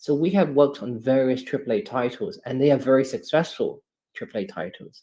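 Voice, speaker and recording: A man speaks at a medium pitch with a dark, mellow tone. His pace is moderate. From London, England. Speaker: game studio representative. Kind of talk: live AMA interview.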